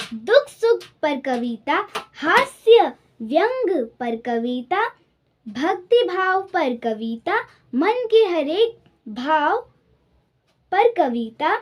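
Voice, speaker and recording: With very wide pitch swings and long, frequent pauses, a woman speaks at an extremely high pitch. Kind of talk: poetry reading.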